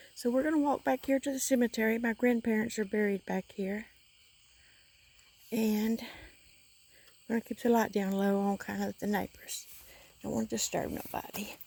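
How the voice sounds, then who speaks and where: A woman speaks quietly in a Southern US accent, with a fairly high pitch, ordinary pitch variation and a dark, mellow tone. Her moderate pace has long, frequent pauses, and the dry, close sound has no echo on a very clean recording with a silent background. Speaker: paranormal explorer vlogger. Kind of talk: vlog walkthrough narration. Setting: outdoors at a church cemetery at night. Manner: quiet, hushed.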